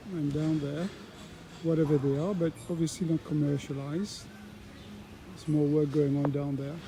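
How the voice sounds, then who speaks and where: Fairly high male pitch, fairly even intonation, and long, frequent pauses over noticeable background noise. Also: moderate pace. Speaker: travel vlogger, pilgrim walker. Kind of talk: casual walking vlog narration. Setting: outdoors, walking in a town. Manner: soft-spoken; halting, many fillers.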